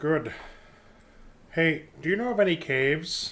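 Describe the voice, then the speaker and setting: A man puts on a character voice with lively intonation and fairly high pitch. He talks at a moderate pace. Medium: actual play. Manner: hesitant, uses filler sounds.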